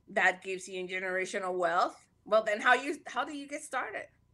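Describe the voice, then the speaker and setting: A woman speaks with a Panamanian accent. Her bright, sharp tone rides on lively intonation. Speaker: podcaster. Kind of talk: casual interview chat.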